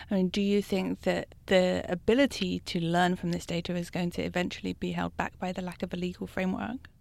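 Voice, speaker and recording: A woman with a British accent at a fairly quick pace, with hardly any pauses. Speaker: journalist interviewer. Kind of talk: interview.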